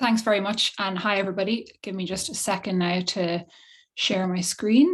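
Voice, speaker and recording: This woman's voice sits at a medium pitch with fairly even intonation. She speaks at a moderate pace. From Ireland. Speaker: behavioural scientist. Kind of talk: presentation. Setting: video call. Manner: stammering, many repeated words.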